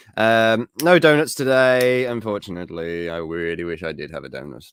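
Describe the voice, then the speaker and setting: Recorded very cleanly against a silent background, a man with an English accent speaks with lively intonation in a dry, close sound with no echo. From England. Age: 30s. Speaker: geek news show host. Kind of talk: casual livestream chat. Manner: rambling, hesitant with fillers.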